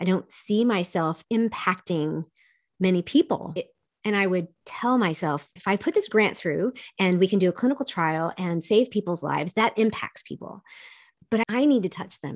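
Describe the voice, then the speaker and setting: In a plain, everyday voice, a woman with an American accent talks at a moderate pace and medium pitch, with ordinary pitch variation, in a dry, close sound with no echo and a quiet background. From US South, childhood partly in South Korea. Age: 50s. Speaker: life coach and speaker. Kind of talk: interview.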